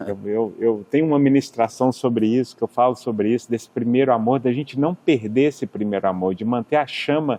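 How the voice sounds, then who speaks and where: Fairly quick speech in a mineiro accent, with ordinary pitch variation. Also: man. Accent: mineiro accent, kept despite living in US. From Minas Gerais, Brazil (Belo Horizonte). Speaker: businessman and healing minister. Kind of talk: interview testimony. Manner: halting, repetitive.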